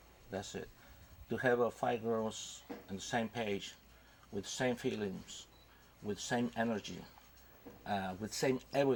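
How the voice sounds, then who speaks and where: The speaker has a Spanish accent and ordinary pitch variation. The pace is fairly slow, with long, frequent pauses. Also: man, medium pitch for a man. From Mexico. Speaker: father of band members. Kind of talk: TV interview. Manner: halting.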